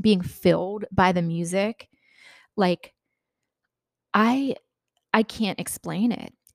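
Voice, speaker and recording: In a dry, close sound with no echo, a woman at a medium pitch talks at a very slow pace, using ordinary pitch variation and long, frequent pauses. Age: 30s. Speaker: podcast host. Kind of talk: personal storytelling monologue. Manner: hesitant, many fillers.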